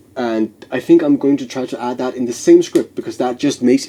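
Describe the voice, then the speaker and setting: Noticeable background noise sits behind speech at a fairly quick pace. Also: man. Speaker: game developer vlogger. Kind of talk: devlog narration. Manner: hesitant, many fillers.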